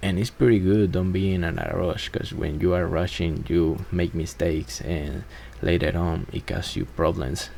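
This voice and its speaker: Against noticeable background noise, a man with a very deep, low pitch talks at a moderate pace with ordinary pitch variation. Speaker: electrician. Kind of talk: voiceover narration of work footage.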